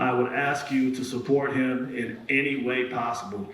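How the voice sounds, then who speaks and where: A man is speaking in a room with audible echo. Noticeable background noise runs under his voice. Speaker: event host, person in long-term recovery. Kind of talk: live event interview. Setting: stage with audience. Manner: loud.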